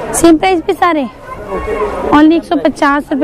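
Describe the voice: Over faint background noise and faint crowd noise in the background, a woman speaks in a slightly mellow tone with ordinary pitch variation.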